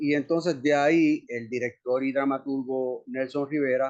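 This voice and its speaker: A man with a fairly high voice speaks at a fairly slow pace. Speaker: actor. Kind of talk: interview. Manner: monotone.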